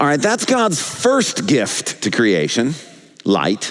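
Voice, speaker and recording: Over music in the background, a man talks at a very slow pace. His pitch swings very widely. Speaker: pastor. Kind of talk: sermon. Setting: church.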